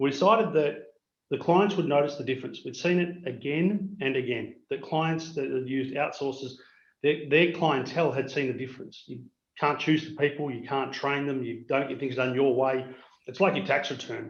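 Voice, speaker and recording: In an Australian accent, a man with a fairly high pitch speaks at a moderate pace with ordinary pitch variation. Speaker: MSP business owner. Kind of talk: webinar presentation. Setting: video call.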